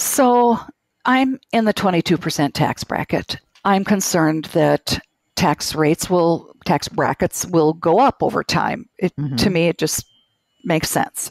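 A woman with a Minnesotan accent speaks at a fairly low pitch with lively intonation. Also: fairly slow pace, dry, close sound with no echo. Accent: Minnesota. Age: 60s. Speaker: caller near retirement. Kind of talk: call-in conversation.

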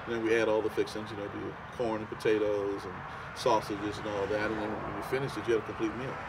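Loud background noise sits behind a man with a New Orleans accent. He talks at a very fast pace in a monotone, flat way. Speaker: home cook. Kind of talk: interview answer. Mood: relaxed, enthusiastic. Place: waterside.

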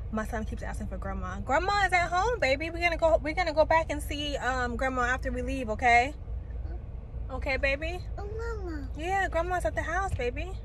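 A woman speaks at a fairly quick pace. The sound is dry with no echo, and there is light background noise. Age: 30s. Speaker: lifestyle vlogger. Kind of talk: casual vlog to camera. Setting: out and about, mall and car. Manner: casual, rambling with fillers. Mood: soothing, reassuring. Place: car. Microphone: phone near.

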